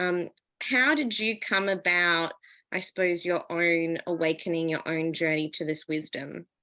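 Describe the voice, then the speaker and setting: A woman with an Australian accent, fairly low in pitch with a bright, sharp tone and ordinary pitch variation, at a fairly slow pace over a quiet background. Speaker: podcast host. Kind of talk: casual chat.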